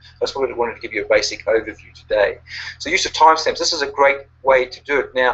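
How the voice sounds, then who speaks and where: Speaking very fast, the man has a New Zealand accent. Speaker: online marketing coach. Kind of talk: webinar presentation. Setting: online webinar. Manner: halting, many fillers.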